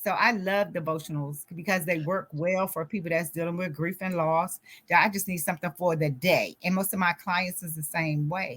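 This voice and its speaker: An ordinary speaking voice from a woman, fairly low in pitch, at a moderate pace with fairly even intonation and hardly any pauses, on a very clean recording with a silent background. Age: 60s. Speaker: author and grief coach. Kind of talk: interview.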